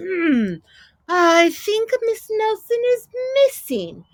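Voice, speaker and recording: A woman uses a put-on character voice at an extremely high pitch. She speaks at a very slow pace with very wide pitch swings. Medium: read story. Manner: slow, musing.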